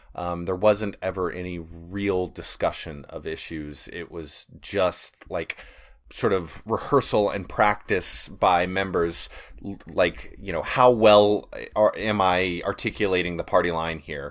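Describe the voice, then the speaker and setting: A man's very deep, low voice at a fairly slow pace, fairly even in intonation but with big swings in loudness, on a very clean recording with a silent background. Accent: American. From Texas. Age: 30s. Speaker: podcaster, former socialist activist. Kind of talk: casual interview chat.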